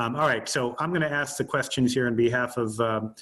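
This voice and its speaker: A man talks in a normal speaking voice. His pitch is medium and his pace fairly quick. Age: 40s. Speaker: moderator, financial editor. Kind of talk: fireside chat interview.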